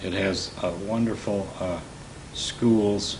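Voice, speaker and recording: Noticeable background noise and audible room echo surround a man speaking at a very deep, low pitch. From Michigan, US Midwest. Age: 80s+. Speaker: war veteran. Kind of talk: interview testimony. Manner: halting.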